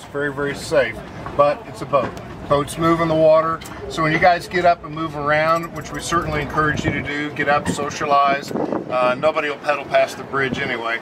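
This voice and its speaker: A man speaks at a fairly quick pace. Loud background noise surrounds him. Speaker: boat tour guide. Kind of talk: safety briefing talk. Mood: joking, friendly. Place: boat.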